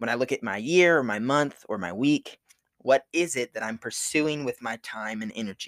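A man with a normal speaking voice and ordinary pitch variation, dry and close with no echo. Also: very clean recording, silent background. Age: 20s. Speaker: seminary student and ministry speaker. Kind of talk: devotional talk. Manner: casual, frequent laughs.

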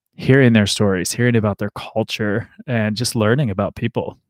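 A man with a Midwestern American accent speaks at a fairly low pitch in a very clean recording with a silent background and a dry, close sound with no echo. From US Midwest, north central Ohio. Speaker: podcast host. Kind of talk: casual chat. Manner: halting, many repetitions.

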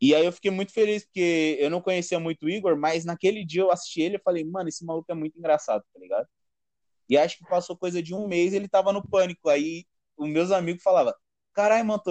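This man's voice is high in pitch. He speaks at a very fast pace. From São Paulo, east zone. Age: 20s. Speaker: stand-up comedian. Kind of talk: casual chat.

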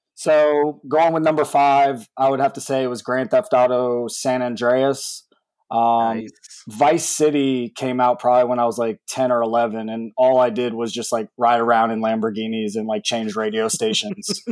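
Speaking in a plain, everyday voice, a man keeps a moderate pace with hardly any pauses, a medium pitch and ordinary pitch variation. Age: 30s. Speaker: esports team owner. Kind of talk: casual interview chat.

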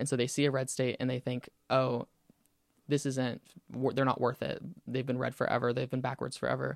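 A man with an American accent, vocal fry and monotone, flat intonation, long, frequent pauses, and a dry, close sound with no echo. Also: medium pitch for a man. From US South, Pensacola, Florida. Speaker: university student senator. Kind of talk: casual interview chat.

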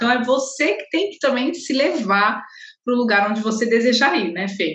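This woman has a normal speaking voice, pitched fairly high. She moves at a moderate pace with ordinary pitch variation. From Guarulhos, São Paulo, Brazil. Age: 30s. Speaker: holistic therapist. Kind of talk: casual interview.

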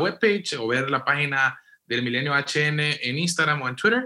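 A man with a normal speaking voice talks at a moderate pace in a fairly high pitch. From western Honduras. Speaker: podcast co-moderator, political analyst. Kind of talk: political analysis in panel discussion.

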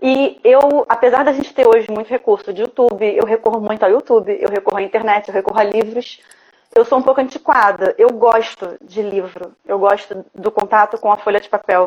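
At a fairly quick pace, a woman with a fairly high pitch speaks with ordinary pitch variation and big swings in loudness. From Rio de Janeiro, Brazil. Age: 30s. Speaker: visual artist. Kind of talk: interview, casual. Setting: live online broadcast.

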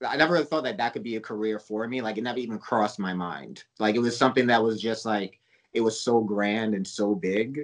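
A man talks in a normal speaking voice at a medium pitch and a fairly quick pace. His pitch varies in an ordinary way against a quiet background. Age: 30s. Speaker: horror film director. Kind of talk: casual interview chat.

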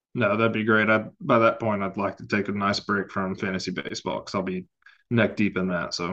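Using a plain, everyday voice, a man speaks at a fairly quick pace and fairly low pitch with fairly even intonation. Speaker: fantasy football analyst. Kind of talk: casual chat.

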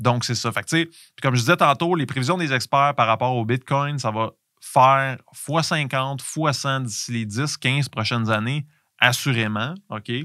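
In a Quebec accent, a man speaks at a fairly slow pace and a medium pitch with ordinary variation and a bright, sharp tone, on a very clean recording with a silent background and a dry, close sound with no echo. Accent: Québécois French. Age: 40s. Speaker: podcast host, entrepreneur. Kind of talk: solo podcast monologue. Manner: halting, many fillers and repetitions.

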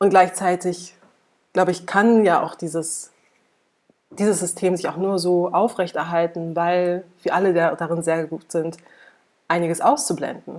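Pausing long and often, a woman speaks at a fairly slow pace with fairly even intonation and a fairly low pitch. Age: 30s. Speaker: climate researcher and activist. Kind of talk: interview.

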